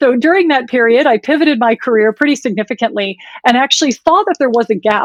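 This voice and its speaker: With a Wisconsin accent, a woman speaks at a fairly quick pace in a dry, close sound with no echo. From US, Wisconsin. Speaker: women's health tech founder. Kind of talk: podcast interview.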